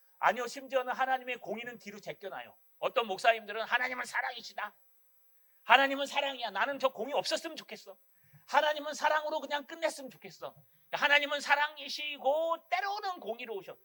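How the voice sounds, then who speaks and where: A man with a strong Gyeongsang accent at a fairly quick pace, extremely high in pitch, with lively intonation, a raised, projected voice, a bright, sharp and animated tone, and big swings in loudness. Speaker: pastor. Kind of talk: sermon. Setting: church.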